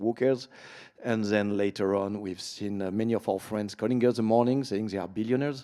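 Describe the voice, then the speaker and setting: Recorded very cleanly against a silent background, a man talks at a fairly quick pace with a dark, mellow tone, a fairly low pitch and fairly even intonation. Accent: French. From France. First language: French. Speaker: panel moderator, event founder. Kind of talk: panel discussion. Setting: conference stage with audience.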